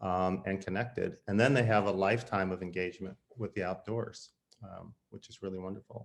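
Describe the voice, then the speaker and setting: A man's ordinary speaking voice, fairly low in pitch, at a fairly quick pace with fairly even intonation and big swings in loudness. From US Midwest, St. Louis. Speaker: conservation leader, former board member. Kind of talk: panel conversation. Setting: video call.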